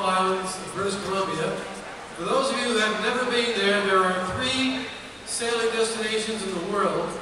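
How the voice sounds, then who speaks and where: A man with a high voice speaks at a moderate pace in a raised, projected voice. Strong room echo and noticeable background noise surround him. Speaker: sea captain boat owner donating trip. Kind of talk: short pitch describing an auction item. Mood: enthusiastic, promotional. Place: hall. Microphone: camera far.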